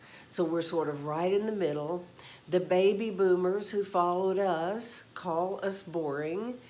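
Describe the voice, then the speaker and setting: Against audible room echo, a woman talks at a fairly slow pace with fairly even intonation. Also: medium pitch for a woman. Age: 70s. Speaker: YouTube host on senior relationships. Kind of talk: casual talk to camera. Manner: conversational with fillers.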